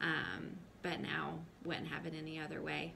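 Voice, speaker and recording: A woman with an American accent, a bright, sharp tone and vocal fry, amid audible room echo. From US South, North Carolina. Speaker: mom vlogger. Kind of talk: personal testimony to camera. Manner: hesitant, many fillers.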